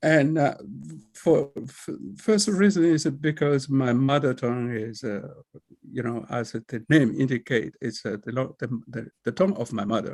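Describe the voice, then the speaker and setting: With a Togolese accent, the speaker talks at a fairly slow pace with lively intonation. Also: man, medium pitch for a man. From Togo, West Africa. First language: Kabye. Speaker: librarian and professor. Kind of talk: personal presentation. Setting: video call. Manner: halting, with many fillers.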